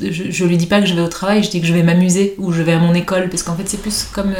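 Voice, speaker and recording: A woman with a fairly low pitch speaks with fairly even intonation, with audible room echo and noticeable background noise. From Paris, France. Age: 40s. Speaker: entrepreneur. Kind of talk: casual chat.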